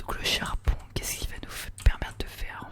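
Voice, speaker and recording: A whisper comes through beneath noticeable background noise. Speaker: ASMR gaming creator. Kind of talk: ASMR let's play commentary. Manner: whispered, soft-spoken.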